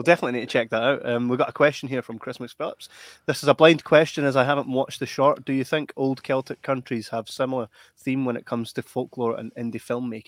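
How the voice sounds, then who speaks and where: A man with a Scottish accent at a very fast pace, fairly even intonation, the sound dry and close with no echo. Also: medium pitch for a man. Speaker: podcast host. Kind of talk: live podcast interview.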